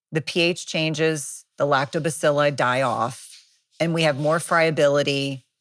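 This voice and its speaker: A woman with an American accent and a very deep, low pitch speaks at a fairly slow pace on a very clean recording with a silent background. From US Northeast, New Jersey. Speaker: nurse practitioner and author. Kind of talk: expert interview. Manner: animated.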